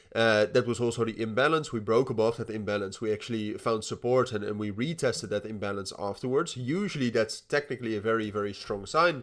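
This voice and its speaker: Barely pausing, a man rattles along at a very fast pace with a medium pitch and ordinary pitch variation. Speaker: crypto market analyst. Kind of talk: daily market update. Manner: halting, many fillers and repetitions.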